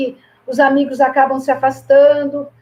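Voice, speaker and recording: The speaker is a woman with a high pitch. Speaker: physical education professor. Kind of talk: online presentation. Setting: online live stream with sign language interpreter.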